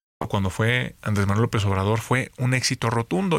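On a very clean recording with a silent background, a man with an ordinary speaking voice talks at a fairly quick pace, fairly low in pitch and with fairly even intonation. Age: 30s. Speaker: politician. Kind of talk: interview. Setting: studio.

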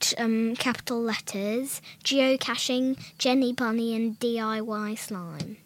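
Read in a natural voice, the passage keeps a fairly even intonation.

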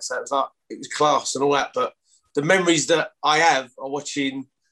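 A man speaks at a fairly high pitch in a strong East London accent. His tone is bright and sharp. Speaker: former rugby league player. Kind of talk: casual interview chat.

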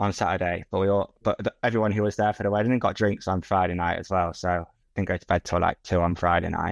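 A man's very deep, low voice with an English Midlands accent, very fast and monotone, flat in intonation, in a dry, close sound with no echo over a quiet background. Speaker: podcast co-host. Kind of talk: casual chat.

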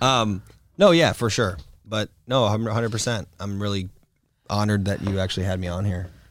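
On a very clean recording with a silent background, a man with an ordinary speaking voice talks fairly quickly at a fairly low pitch with ordinary pitch variation. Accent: American. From Florida, US. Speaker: adult film performer and director. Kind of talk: casual interview chat.

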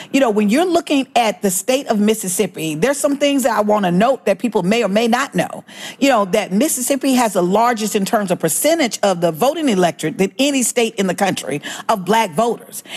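A fairly high-pitched woman with an American accent, fairly quick and lively in intonation, very even in loudness, over noticeable background noise. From Alabama, US South. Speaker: voting rights activist. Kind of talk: interview.

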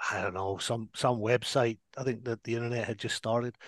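A medium-pitched man's voice with an American accent, dry and close with no echo, over a quiet background. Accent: Scottish accent diluted by long US residence. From Scotland. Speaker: whisky brand ambassador turned TV producer. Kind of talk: casual chat.

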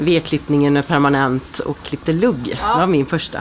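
Through noticeable background noise comes a woman's very deep, low voice. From Sweden, Ulricehamn. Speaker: hairdresser. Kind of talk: casual chat.

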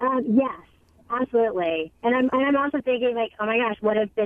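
Here is an unremarkable speaking voice from a woman at a fairly high pitch. She keeps a moderate pace. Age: 40s. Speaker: caller. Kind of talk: call-in question.

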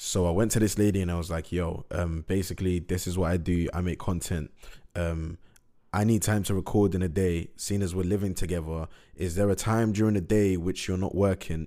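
Over a very clean recording with a silent background, a man speaks at a fairly quick pace. His very deep, low voice has a dark, mellow tone and monotone, flat intonation. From Middlesbrough, north-east England. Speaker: rapper and podcaster. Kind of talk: casual monologue. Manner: casual, filler-heavy.

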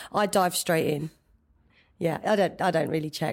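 The recording is very clean with a silent background. A woman with a London accent speaks with a very deep, low pitch. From East London, England. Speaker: interview guest sharing personal story. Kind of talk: personal testimony interview.

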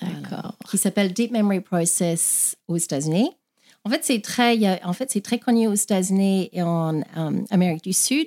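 A dark, mellow voice with an English accent speaks with lively intonation. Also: woman, medium pitch for a woman, moderate pace, very clean recording, silent background. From Australia. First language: English (speaking French). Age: 50s. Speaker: past-life regression therapist. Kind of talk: interview.

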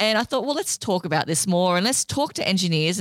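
A woman speaks in an Australian accent. The recording is very clean and dry, close with no echo, and the background is silent. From Australia, Sydney inner west. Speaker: podcast producer and STEM advocate. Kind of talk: casual chat.

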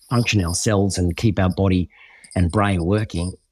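The speaker has a strong Australian accent and ordinary pitch variation. The sound is dry and close with no echo, on a very clean recording with a silent background. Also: man. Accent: broad Australian. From Western Queensland, Australia. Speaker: former reality TV contestant and youth program founder. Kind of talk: interview conversation.

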